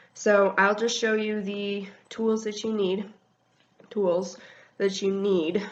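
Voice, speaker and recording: A woman with a medium-pitched voice speaks very slowly in a flat, monotone intonation, leaving long, frequent pauses. Room echo is audible. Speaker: wiccan video blogger. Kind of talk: tutorial. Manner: casual, hesitant with many ums.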